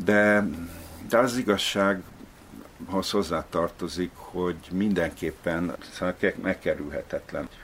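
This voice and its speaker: A man speaks very slowly, with long and frequent pauses. His pitch sits fairly low. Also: ordinary pitch variation. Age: old. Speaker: novelist. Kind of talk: interview. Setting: at home.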